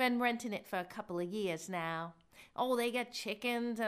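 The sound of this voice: With ordinary pitch variation, the reading voice stays unforced.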